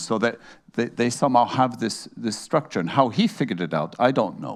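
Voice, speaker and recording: The backdrop stays quiet. A man's speech moves at a moderate pace. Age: 60s. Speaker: panelist, former politician and senior advisor. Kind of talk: panel discussion. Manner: halting, many fillers and repetitions.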